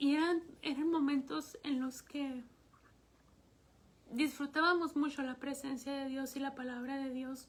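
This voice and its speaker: A woman talks in a high voice at a fairly slow pace, with long, frequent pauses. Her intonation is monotone and flat. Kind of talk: testimony. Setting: livestream broadcast.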